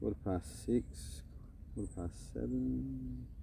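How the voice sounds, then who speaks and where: In an Australian accent, a man speaks with a dark, mellow tone. His pitch swings very widely. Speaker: live streamer. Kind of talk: live stream chat. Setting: outdoors at beach. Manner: casual, rambling.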